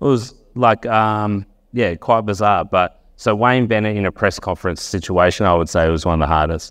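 With an Australian accent, a man of fairly low pitch speaks at a moderate pace with ordinary pitch variation, very even loudness and hardly any pauses, against a quiet background. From Wagga Wagga, New South Wales, Australia. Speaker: sports journalist. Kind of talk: talk to a live audience.

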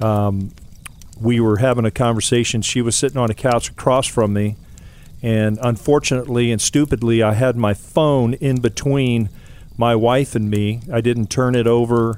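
At a moderate pace, a man speaks in an ordinary speaking voice with medium pitch and very even loudness. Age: 60s. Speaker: mentor giving a devotional segment. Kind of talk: short devotional talk.

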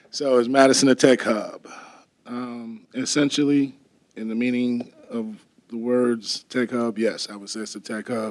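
Delivered in a flat monotone, a man's voice swings widely in loudness. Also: medium pitch for a man, fairly slow pace. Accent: American. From Wisconsin. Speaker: coding instructor. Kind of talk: panel discussion. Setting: stage with audience.

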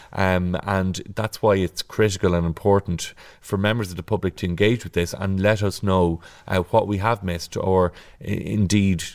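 A man with an Irish accent speaks at a moderate pace, his very deep, low voice monotone and flat, in a very clean recording with a silent background. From Ireland, County Kildare (Naas). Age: 30s. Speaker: local politician, county council chair. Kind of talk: podcast interview. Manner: hesitant, many filler words.

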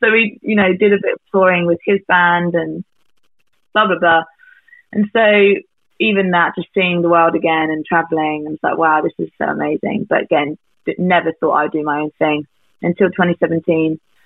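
A woman with a southern English accent, fairly low in pitch, with fairly even intonation at a moderate pace. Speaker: singer-songwriter. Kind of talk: casual chat.

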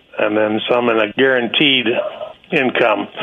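A man talks over noticeable background noise. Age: 60s. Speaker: state worker. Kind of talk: radio call-in.

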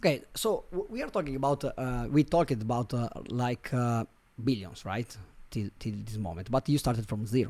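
This man's medium pitch shifts in an ordinary way as he talks at a moderate pace. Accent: Italian. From Italy, Milan. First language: Italian. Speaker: marketing agency CEO. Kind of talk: interview. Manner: halting, many fillers.

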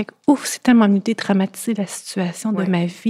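A woman with a Quebec accent speaks at medium pitch and a moderate pace, in a dark, mellow, somewhat breathy tone. Her intonation stays fairly even, and the sound is dry and close with no echo. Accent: Québécois French. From Quebec, Thetford Mines. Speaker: guest sharing eating disorder experience. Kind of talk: testimony.

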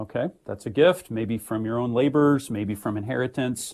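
This man has a normal speaking voice, with ordinary pitch variation and a moderate speed. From US Midwest, St. Louis, Missouri. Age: 40s. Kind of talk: radio interview.

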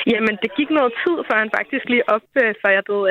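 A normal speaking voice from a woman, at a moderate pace with ordinary pitch variation. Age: 20s. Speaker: listener caller, parent. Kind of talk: casual chat.

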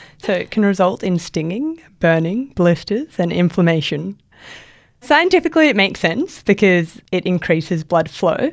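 On a very clean recording with a silent background, a woman speaks in a plain, everyday voice at medium pitch, moderate pace and with lively intonation. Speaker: beauty writer and co-host. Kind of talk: casual chat.

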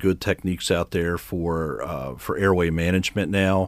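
A man's very deep, low voice with an American accent, on a very clean recording with a silent background. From Maryland, Harford County. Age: 50s. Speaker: fire chief. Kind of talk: radio interview. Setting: radio studio. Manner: halting with frequent repetitions and fillers.

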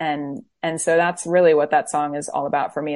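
A woman with an American accent talks at a fairly quick pace with a very deep, low pitch. Her intonation stays fairly even against a quiet background. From Florida. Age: 30s. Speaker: worship leader and singer-songwriter. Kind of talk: interview.

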